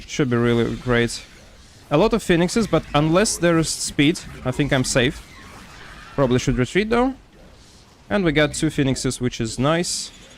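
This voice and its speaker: A man with a strong Russian accent talks at a moderate pace. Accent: heavy Russian. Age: 20s. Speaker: gaming streamer. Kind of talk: casual chat; live gameplay commentary. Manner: casual, filler-heavy.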